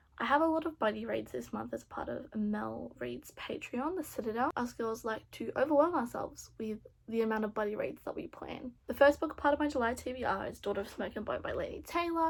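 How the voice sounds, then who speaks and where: On a very clean recording with a silent background, the speech moves at a fairly quick pace with hardly any pauses. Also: woman. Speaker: booktuber. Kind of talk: casual vlog talk. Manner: fast; animated.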